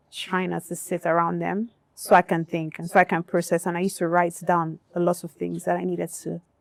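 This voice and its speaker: Recorded with a dry, close sound and no echo, a woman talks at a fairly quick pace. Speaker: music industry executive. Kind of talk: panel discussion. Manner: soft-spoken, not loud.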